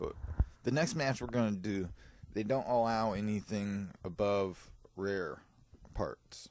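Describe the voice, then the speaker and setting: Soft-spoken, a man talks in a fairly low pitch. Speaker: gaming YouTuber. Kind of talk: gameplay commentary. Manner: soft-spoken, gets quiet; animated.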